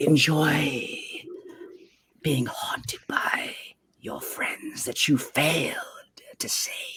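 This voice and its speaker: A man's put-on, raspy character voice, cackling, at a very slow pace with long, frequent pauses. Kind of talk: dramatic. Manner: taunting, cackling.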